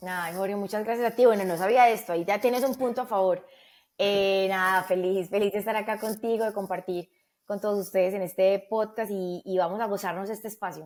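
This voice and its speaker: In a Medellín accent, a woman speaks at a fairly quick pace with medium pitch and fairly even intonation, on a very clean recording with a silent background. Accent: paisa (Medellín) Spanish. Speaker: customer experience executive. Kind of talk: podcast interview.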